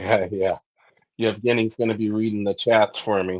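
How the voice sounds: A fairly low-pitched, nasal male voice with little pitch movement. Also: moderate pace.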